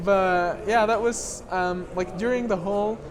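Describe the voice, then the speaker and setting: Speech at a moderate pace in a French accent, over noticeable background noise. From Lebanon. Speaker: documentary filmmaker. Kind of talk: interview. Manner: halting.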